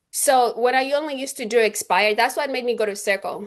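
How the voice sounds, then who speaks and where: A woman with a non-native accent at a fairly quick pace, against a quiet background. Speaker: real estate agent. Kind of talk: interview. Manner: halting.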